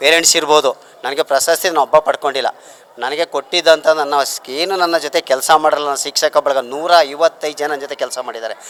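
His intonation is fairly even. This man's pitch sits fairly high. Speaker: retiring school headmaster. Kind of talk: farewell speech.

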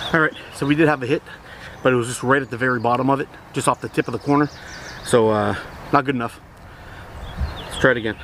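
Very fast speech comes from a man in a dry sound with no echo and light background noise. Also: fairly even intonation. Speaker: slingshot reviewer. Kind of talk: casual vlog chat. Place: garden. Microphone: camera far.

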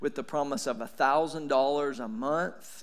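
A man's fairly high voice comes through against a quiet background. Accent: East Tennessee. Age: 40s. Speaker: pastor. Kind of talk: sermon. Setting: church. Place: church. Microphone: headset.

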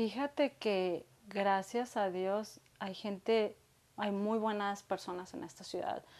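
A woman speaks at a very slow pace. Her medium-pitched voice has ordinary pitch variation. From Mexico, Guadalajara, Jalisco. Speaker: small business owner; guest. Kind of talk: interview conversation. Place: home room.

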